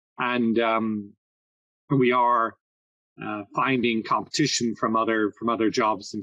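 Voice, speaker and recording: In a slight Irish accent, a man with a medium pitch talks at a fairly slow pace, the sound dry and close with no echo and a quiet background. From Ireland. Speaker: agritech consultant and investor. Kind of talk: podcast interview.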